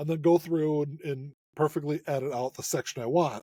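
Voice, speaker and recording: Pitched fairly high, a man speaks fairly quickly in a dark, mellow, somewhat breathy tone. The sound is dry and close, with no echo. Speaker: vinyl channel host. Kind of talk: casual chat. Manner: halting.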